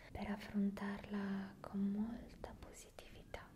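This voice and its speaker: Very slowly, a woman whispers. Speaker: relaxation video host. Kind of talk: soft guided tutorial. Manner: soft, close-mic ASMR voice. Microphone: studio mic.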